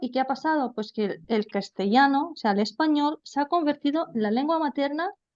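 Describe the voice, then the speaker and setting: Her intonation is lively. The woman speaks with a high pitch. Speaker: language teacher. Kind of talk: lecture. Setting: video call.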